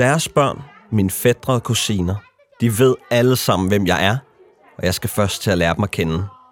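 Music plays in the background as a man speaks at a moderate pace in a fairly low voice with ordinary pitch variation. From Denmark. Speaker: documentary narrator. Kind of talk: scripted narration.

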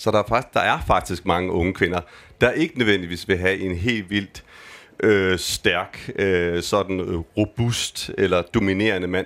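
At a fairly slow pace, a man speaks with a fairly low pitch. The recording is very clean, with a silent background. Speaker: gender researcher. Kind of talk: live panel conversation. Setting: stage with audience. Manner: casual, hesitant.

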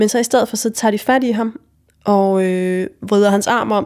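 A woman's medium-pitched voice moves very slowly, her intonation fairly even. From Jutland, Denmark (Vojens). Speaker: interviewee telling personal story. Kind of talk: personal narrative testimony. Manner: halting, many fillers.

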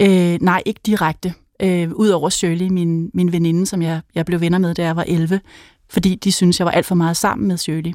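On a very clean recording with a silent background, a fairly low-pitched woman speaks in a flat monotone at a moderate pace. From Denmark, North Zealand (Helsinge). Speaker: author. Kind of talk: interview conversation. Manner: halting, many filler sounds.

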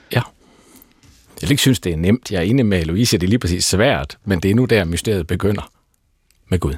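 A man with a Southern Jutland accent, very deep and low in pitch, lively in intonation, with long, frequent pauses. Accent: Danish with southern Jutland undertone. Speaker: pastor. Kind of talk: panel discussion. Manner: halting.

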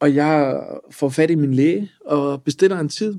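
A man with a fairly high pitch and a dark, mellow tone is recorded in a dry, close sound with no echo. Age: 30s. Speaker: lawyer and entrepreneur. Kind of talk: personal testimony.

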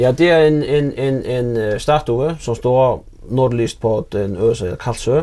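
Very slowly, a man talks in a medium pitch that varies in an ordinary way. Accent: Faroese. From Faroe Islands, Runavík. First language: Faroese (speaking Danish). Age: 40s. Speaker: fishing vessel owner. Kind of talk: casual interview. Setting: at home in an old house. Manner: halting, repeated words.

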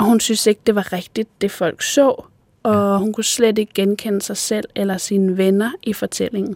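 At a moderate pace, a woman speaks in a normal speaking voice at medium pitch with fairly even intonation, the sound dry and close with no echo. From Denmark, northwest Zealand. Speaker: screenwriter and podcast host. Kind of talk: interview conversation; scripted narration.

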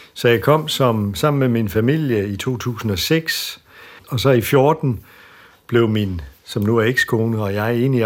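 A plain, everyday voice talks at a fairly slow pace. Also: man. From Denmark. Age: 50s. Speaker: school principal. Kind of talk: interview.

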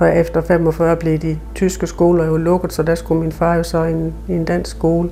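Fairly slow speech from a woman, with noticeable background noise behind it. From Southern Jutland, Denmark. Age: 50s. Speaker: member of German minority. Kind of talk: interview.

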